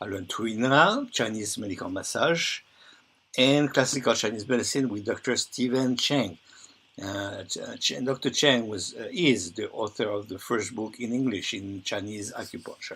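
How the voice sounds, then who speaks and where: A man with a French accent speaks at a medium pitch and a moderate pace, with ordinary pitch variation. His tone is bright and sharp, and his loudness swings widely. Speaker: bodywork healer and teacher. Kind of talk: reading aloud a presentation. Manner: halting.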